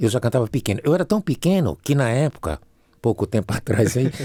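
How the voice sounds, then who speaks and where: A man's dark, mellow voice with vocal fry and very wide pitch swings, at a moderate pace, dry and close with no echo, in a very clean recording with a silent background. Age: 70s. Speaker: singer and musician. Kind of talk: casual chat.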